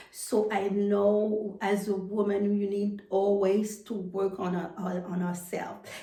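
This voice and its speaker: Over noticeable background noise, a woman speaks at a fairly slow pace in monotone, flat intonation with hardly any pauses. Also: medium pitch for a woman. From Haiti. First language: French or Haitian Creole. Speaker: personal development coach. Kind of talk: motivational talk to camera. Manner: halting, many fillers and repetitions.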